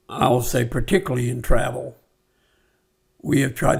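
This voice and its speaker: The voice is somewhat breathy. It belongs to a man speaking with an American accent. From California. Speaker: former mayor and businessman. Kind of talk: podcast interview.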